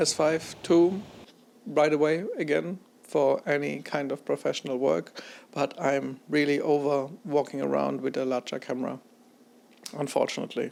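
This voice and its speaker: A man with a non-native accent at a moderate pace. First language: not English. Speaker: camera reviewer, photographer. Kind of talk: casual vlog review. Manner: unscripted, halting.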